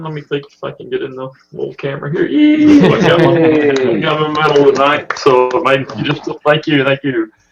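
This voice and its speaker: A man with a Southern US accent, a fairly high pitch, lively intonation, and a moderate pace. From US South (Mississippi and Alabama). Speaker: podcast listener, amateur photographer. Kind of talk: casual chat.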